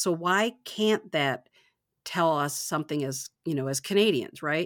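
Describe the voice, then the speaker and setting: Speaking at a moderate pace, a woman has an ordinary speaking voice, fairly low in pitch, with lively intonation and an American accent. The recording is very clean, with a silent background. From Michigan, US. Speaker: podcast host. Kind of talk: casual chat.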